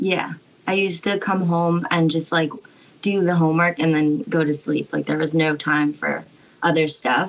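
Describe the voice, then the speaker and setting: This is an unremarkable speaking voice from a woman with a fairly low pitch. Her intonation stays fairly even at a moderate pace. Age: 20s. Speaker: art student. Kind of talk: casual chat.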